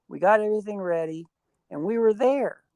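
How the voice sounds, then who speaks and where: A woman with an Ohio accent, dark and mellow in tone, at a moderate pace with ordinary pitch variation, in a dry, close sound with no echo. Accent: Midwestern US (Ohio). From Ohio, south of Akron. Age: 60s. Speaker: Bigfoot researcher. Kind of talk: interview. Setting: live stream.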